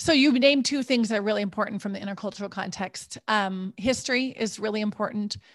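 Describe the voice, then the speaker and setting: At a very fast pace, a woman with an American accent speaks in a fairly high, somewhat breathy voice with ordinary pitch variation, against a quiet background. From US Midwest, rural North Dakota. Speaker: intercultural coach. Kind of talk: interview.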